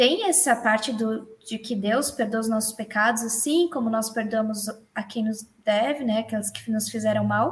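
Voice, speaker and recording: A woman with a normal speaking voice and fairly high pitch talks at a fairly slow pace, with ordinary pitch variation and hardly any pauses. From Santa Catarina, Brazil. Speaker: church youth member. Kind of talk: casual religious discussion.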